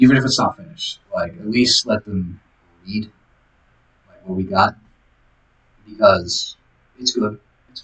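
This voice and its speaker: A man mumbling at a fairly slow pace, medium in pitch with ordinary variation, broken by long, frequent pauses. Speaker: vlogger. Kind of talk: casual diary vlog monologue. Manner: halting, many fillers. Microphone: audio became bad after skip.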